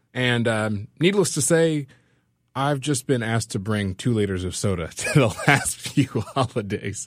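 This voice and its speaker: A man with an American accent speaks fairly slowly at a medium pitch, in a normal speaking voice. His intonation is lively, and the recording is very clean with a silent background. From California. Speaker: community organizer and musician. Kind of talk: storytelling.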